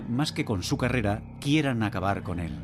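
Over music in the background, a man delivers lines in a solemn, dramatic tone at a moderate pace, his fairly low voice full of lively intonation. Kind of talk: documentary narration. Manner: solemn, dramatic, measured; ominous, gripping storytelling.

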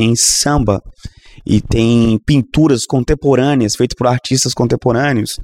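Dry and close with no echo, a man's medium-pitched voice moves at a very slow pace with fairly even intonation and very even loudness. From Minas Gerais, Brazil (Governador Valadares). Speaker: Anglican bishop and pastor. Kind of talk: casual interview conversation.

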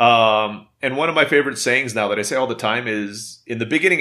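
On a very clean recording with a silent background, a man speaks at a medium pitch in a bright, sharp tone. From Istanbul, Turkey (raised abroad, Filipino-American). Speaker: entrepreneur. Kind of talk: interview.

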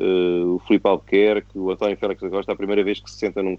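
A man with an unremarkable speaking voice talks at a fairly quick pace with a fairly low pitch. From Portugal (born in Angola, moved 1974). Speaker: retired racing driver. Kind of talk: casual interview chat.

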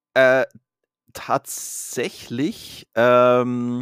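A man speaks in a very clean recording with a silent background, the sound dry and close with no echo. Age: 30s. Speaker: podcast co-host. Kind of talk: casual chat.

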